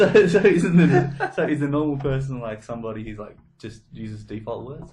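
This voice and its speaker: A man's fairly high, mumbling voice at a fairly quick pace, with lively intonation and big swings in loudness. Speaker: comedy podcast co-host. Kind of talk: casual chat.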